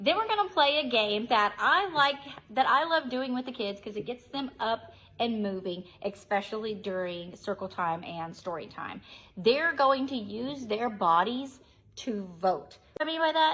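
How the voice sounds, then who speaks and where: Loud and animated, a woman with a fairly high pitch talks at a moderate pace with very wide pitch swings. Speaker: preschool teacher, early childhood educator. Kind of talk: tutorial.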